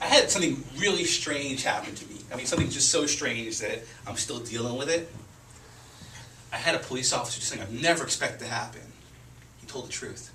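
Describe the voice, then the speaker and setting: A man's fairly high-pitched voice at a very fast pace, with long, frequent pauses, ordinary pitch variation and big swings in loudness, amid audible room echo and noticeable background noise. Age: 40s. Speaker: stand-up comedian and show producer. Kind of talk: stand-up; casual chat. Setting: stage with audience.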